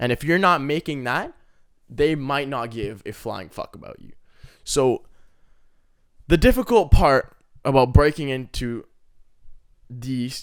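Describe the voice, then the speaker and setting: A fairly high-pitched man with a passionate tone, ordinary pitch variation, big swings in loudness, a fairly slow pace and long, frequent pauses, in a very clean recording with a silent background. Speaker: aspiring content creator, vlogger. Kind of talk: unedited solo rant. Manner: passionate, aggressive.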